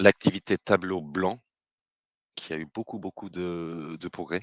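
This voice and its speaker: A man with a British accent, in a dry, close sound with no echo. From Britain. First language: English (speaking French). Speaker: business developer, webinar host. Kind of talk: webinar presentation. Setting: online webinar. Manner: hesitant, many filler sounds.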